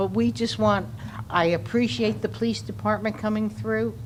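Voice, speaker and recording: A woman's very deep, low voice with very wide pitch swings at a moderate pace, with audible room echo. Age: 80s+. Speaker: resident speaking at public comment. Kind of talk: public comment at city council meeting.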